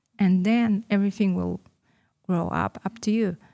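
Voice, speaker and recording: A woman with a Russian accent speaks in a dark, mellow tone, recorded with a dry, close sound and no echo. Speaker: entrepreneur. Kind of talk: interview. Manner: halting.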